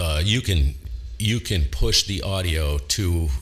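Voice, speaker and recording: A somewhat breathy male voice. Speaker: ham radio operator and streamer. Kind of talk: casual chat. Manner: halting, many fillers.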